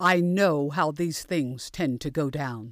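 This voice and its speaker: In a very clean recording with a silent background and a dry, close sound with no echo, a woman with an American accent talks at a fairly slow pace with ordinary pitch variation in a normal speaking voice. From United States. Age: 60s. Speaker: pastor. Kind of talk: sermon. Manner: formal.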